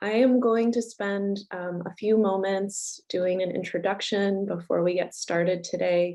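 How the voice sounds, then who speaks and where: Against a quiet background, a woman talks at a fairly slow pace in a monotone, flat intonation. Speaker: nonprofit founder and director opening a symposium. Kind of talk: welcome remarks at a virtual symposium. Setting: video conference. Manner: hesitant, many fillers; slow, unhurried.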